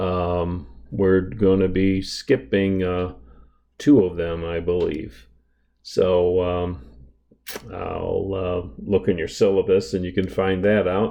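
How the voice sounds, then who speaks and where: Audible room echo surrounds a man with a very deep, low pitch who speaks at a very slow pace with ordinary pitch variation. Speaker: math instructor. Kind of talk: lecture. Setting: recording at home. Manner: soft-spoken, keeping voice down.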